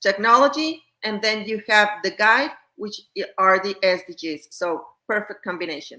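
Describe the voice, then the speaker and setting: A woman with a Spanish accent talks at a moderate pace, her tone bright and sharp and her intonation lively. Her loudness swings widely. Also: fairly high pitch for a woman. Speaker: educator. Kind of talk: podcast interview. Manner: halting.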